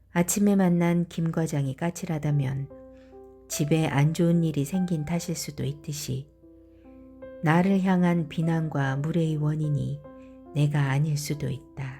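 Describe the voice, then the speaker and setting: With music in the background, a woman speaks at a very slow pace in a calm, soothing tone, her very deep, low pitch held in fairly even intonation. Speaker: voice acting trainee, beginner audiobook reader. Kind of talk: audiobook reading of a self-help essay.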